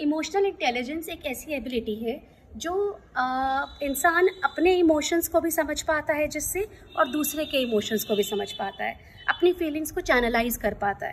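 Over light background noise, a woman with a high pitch talks fairly slowly and with lively intonation. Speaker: speaker. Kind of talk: informative talk to camera. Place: garden. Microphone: phone near.

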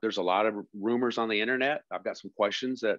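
A plain, everyday voice at a moderate pace, with a quiet background. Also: man, dry sound with no echo. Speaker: podcast co-host. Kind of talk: casual podcast talk. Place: home room. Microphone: earbuds.

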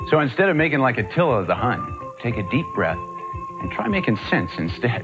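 Over clear background music, a man speaks at a moderate pace with very wide pitch swings. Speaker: actor. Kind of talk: public service announcement host. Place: studio.

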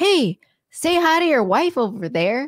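Putting on a character voice, a woman speaks at a high pitch with very wide pitch swings in a dry, close sound with no echo. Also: moderate pace. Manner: friendly, warm.

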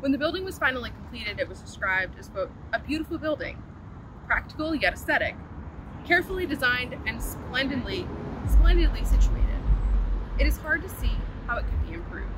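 Loud background noise surrounds a dry sound with no echo. A woman talks at a very fast pace. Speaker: walking tour guide. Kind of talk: historical tour presentation. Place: open country.

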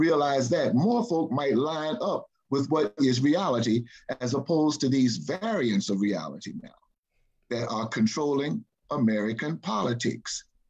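A man speaks at a fairly slow pace, his pitch swinging very widely. The background is quiet. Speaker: panelist. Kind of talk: discussion commentary. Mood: emphatic political opinion. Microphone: video call.

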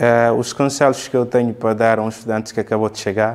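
At a moderate pace, a man speaks in a monotone, flat way at a medium pitch. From Guinea-Bissau. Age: 20s. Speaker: university student; interviewee. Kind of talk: interview. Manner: halting, many fillers and repetitions. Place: empty room.

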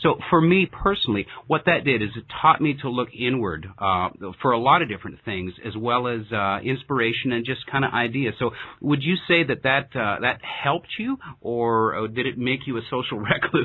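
Lively intonation and a moderate pace mark a normal speaking voice. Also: man, medium pitch for a man. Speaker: podcast host. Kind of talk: casual interview. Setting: remote call.

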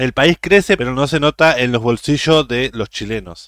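In a Uruguayan accent, a man at medium pitch speaks at a fairly quick pace with a dry, close sound and no echo. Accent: Uruguayan Spanish (rioplatense). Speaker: YouTube reaction creator. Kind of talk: casual reaction commentary.

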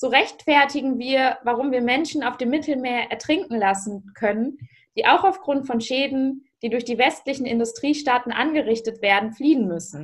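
A woman with a high pitch and lively intonation speaks at a moderate pace against a quiet background. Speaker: youth politician. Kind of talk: panel discussion. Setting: video call. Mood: serious, earnest. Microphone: video call.

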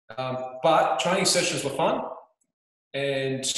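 Audible room echo surrounds a man speaking against a quiet background. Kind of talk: interview answer. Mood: amused, storytelling. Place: home room.

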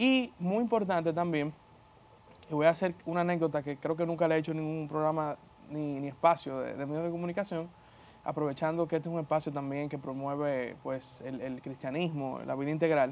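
Talking at a fairly quick pace, a man uses a fairly high pitch with ordinary variation. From Dominican Republic. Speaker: politician. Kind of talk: interview. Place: studio. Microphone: lapel.

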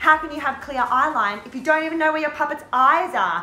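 A woman uses a raised, projected voice at a fairly quick pace. Her pitch varies in an ordinary way, and audible room echo is present. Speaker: drama teacher. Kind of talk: tutorial. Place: classroom. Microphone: camera far.

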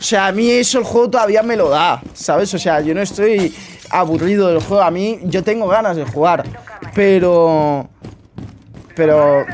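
With a Spanish accent and a high pitch, a man speaks in an animated tone at a fairly slow pace, with ordinary pitch variation and light background noise. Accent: Peninsular Spanish. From Spain. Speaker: gaming youtuber. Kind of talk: casual gameplay commentary.

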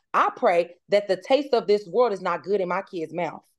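Woman at a moderate pace with ordinary pitch variation, quiet background. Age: 30s. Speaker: mother of four, podcast guest. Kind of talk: casual chat. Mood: earnest, heartfelt. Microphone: video call.

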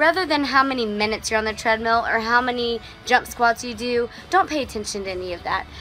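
A woman speaks with a high pitch. Faint music plays in the background. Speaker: fitness trainer. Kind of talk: casual vlog chat.

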